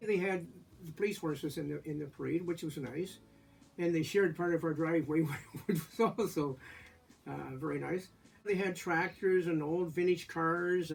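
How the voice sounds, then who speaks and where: Music in the background behind a man with a Canadian accent, high pitch, fairly even intonation, moderate pace and long, frequent pauses. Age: 70s. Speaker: community elder sharing memories. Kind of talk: casual storytelling interview. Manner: halting, with many fillers.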